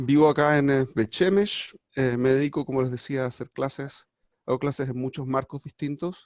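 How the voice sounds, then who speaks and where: A man's fairly high voice with a Chilean accent, moderate pace and fairly even intonation, in a dry, close sound with no echo. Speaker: rabbi and teacher. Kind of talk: lecture. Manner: hesitant, many fillers.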